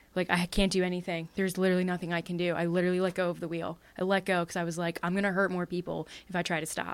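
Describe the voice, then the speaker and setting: The speech comes at a very fast pace in a monotone, flat intonation. The recording is very clean, with a silent background. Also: woman, fairly low pitch for a woman. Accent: Philadelphia. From Pennsylvania, Bucks County (Levittown). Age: 30s. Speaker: actor and comedian. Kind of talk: casual chat.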